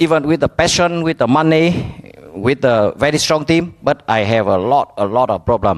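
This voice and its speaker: A man with a Vietnamese accent speaks at a moderate pace in a fairly high voice, his intonation lively and his loudness very even. The sound is dry and close, with no echo. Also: hardly any pauses. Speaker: business owner. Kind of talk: speech. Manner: halting.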